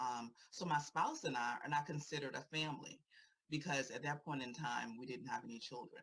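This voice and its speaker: A woman with an American accent, very deep and low in pitch, at a fairly quick pace. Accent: Virginia accent, noticed by others. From Virginia. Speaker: therapist and LGBTQ advocate. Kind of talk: prepared speech at a rally. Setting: rally panel.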